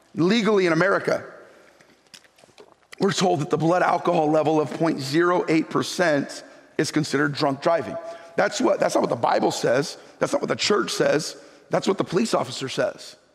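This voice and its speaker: Over noticeable background noise, a high-pitched man talks at a fairly quick pace. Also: ordinary pitch variation, very even loudness. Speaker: pastor. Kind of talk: sermon.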